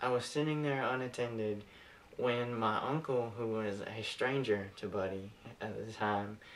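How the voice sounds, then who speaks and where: At a fairly slow pace, a man talks with medium pitch and fairly even intonation in a normal speaking voice. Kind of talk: eulogy speech delivered to an audience. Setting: public speaking, delivered to a room of attendees.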